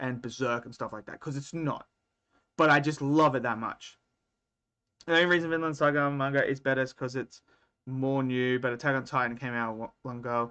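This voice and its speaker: A man with an Australian accent speaks at a medium pitch. His pace is fairly quick, and his intonation is fairly even. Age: 30s. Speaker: anime streamer. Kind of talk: live stream chat. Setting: live stream. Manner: casual, conversational.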